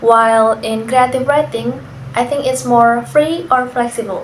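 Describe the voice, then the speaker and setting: A woman with an Indonesian accent, high-pitched, at a fairly slow pace with ordinary pitch variation, amid noticeable background noise and audible room echo. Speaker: university student. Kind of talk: class assignment interview.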